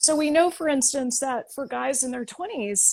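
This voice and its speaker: A woman with a high voice speaks at a moderate pace. Her intonation is lively, and the recording is very clean with a silent background. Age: 40s. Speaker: physician and health author. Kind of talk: interview.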